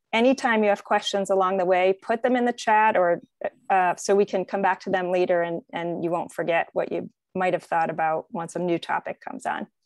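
Against a quiet background, a woman talks at a fairly quick pace with ordinary pitch variation, the sound dry with no echo. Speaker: event organizer hosting a webinar. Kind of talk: webinar host introduction. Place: home room. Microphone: video call.

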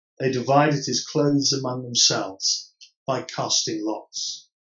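Over a quiet background with audible room echo, a man speaks in a somewhat breathy voice with fairly even intonation. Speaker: Church of England priest. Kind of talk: solemn Gospel reading. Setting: pre-recorded virtual service. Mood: solemn, measured. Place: home room. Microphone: camera far.

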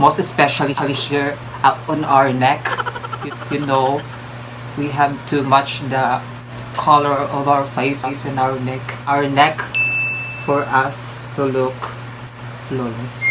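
Very slow delivery with long, frequent pauses over noticeable background noise. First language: Filipino language. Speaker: beauty vlogger. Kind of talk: casual makeup tutorial to camera. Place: home room. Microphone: phone near.

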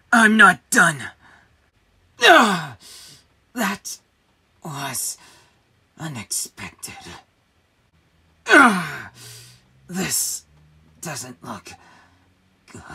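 A put-on character voice, raspy and middle-pitched, drags along at a very slow pace with long, frequent pauses. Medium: voice reel. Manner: teasing, playful.

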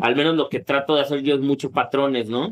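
A man talks with a voice pitched fairly high. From Mexico, Tepic, Nayarit; Nayarit, Mexico. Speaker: electronic music producer and painter; interviewee. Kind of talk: casual interview. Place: studio. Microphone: studio mic.

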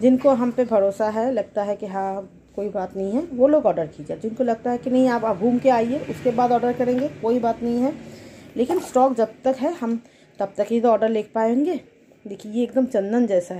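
A woman speaks at a moderate pace in a fairly high pitch, with a slightly husky edge, a dark, mellow tone and ordinary pitch variation.

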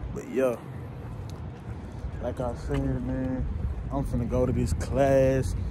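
Recorded dry with no echo, this man's voice comes through over noticeable background noise. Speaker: college student vlogger. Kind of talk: casual vlog chat. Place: street. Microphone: phone near.

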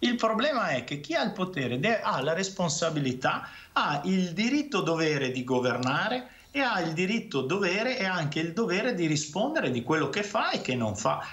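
Pitched high, a man talks at a moderate pace. His pitch swings very widely. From Veneto, Italy. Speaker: regional councillor and physician; regional councillor. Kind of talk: heated debate. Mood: critical, argumentative. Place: home room. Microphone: webcam.

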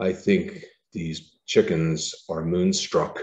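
A man in a put-on character voice at a very slow pace. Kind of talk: lecture. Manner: flat, blank, eerie. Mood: light, humorous.

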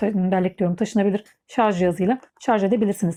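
A dark, mellow female voice, moderately paced and fairly even in intonation. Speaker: beauty vlogger. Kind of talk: product review tutorial. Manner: hesitant, many filler sounds. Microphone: new microphone.

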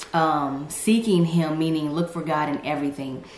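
Over light background noise and audible room echo, a woman talks with a very deep, low pitch and fairly even intonation. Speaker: faith vlogger. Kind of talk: casual vlog chat. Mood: earnest, encouraging. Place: home room.

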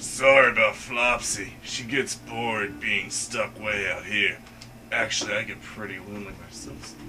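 A man puts on a character voice at a fairly low pitch and a moderate pace. Background noise can be clearly heard.

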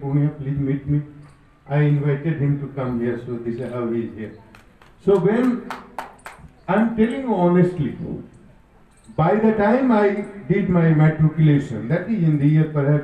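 A man speaks at a moderate pace with long, frequent pauses, and audible room echo fills the recording. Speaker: guest. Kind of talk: motivational speech. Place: stage.

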